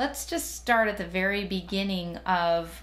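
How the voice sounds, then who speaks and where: A woman talks while music plays in the background. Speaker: hypnotherapist. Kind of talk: instructional talk to camera on self-help. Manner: friendly, instructive.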